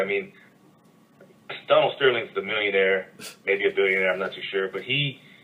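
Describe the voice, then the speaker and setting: Over noticeable background noise, a man speaks with an American accent. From US South, North Carolina. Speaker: podcast co-host. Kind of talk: casual chat.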